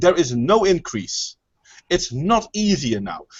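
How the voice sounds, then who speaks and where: Speaking at a fairly slow pace, a man uses a high pitch with very wide pitch swings. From Netherlands. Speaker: hangout moderator. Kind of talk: heated debate.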